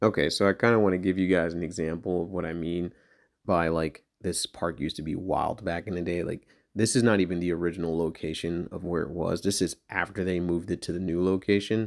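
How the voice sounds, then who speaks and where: On a very clean recording with a silent background, a man with an American accent and a very deep, low pitch talks at a fairly quick pace. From New Jersey (Maplewood). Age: 30s. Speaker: skateboarder vlogger. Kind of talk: casual vlog narration. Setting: outdoors at skatepark. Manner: casual, hesitant with fillers.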